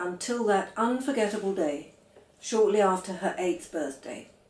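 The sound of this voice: Audible room echo surrounds a woman who speaks at a fairly slow pace with lively intonation.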